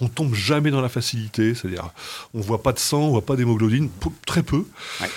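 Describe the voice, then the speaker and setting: Somewhat breathy, a man speaks at a medium pitch. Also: very clean recording, silent background. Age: 50s. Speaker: TV series critic. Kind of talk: casual chat. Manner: animated.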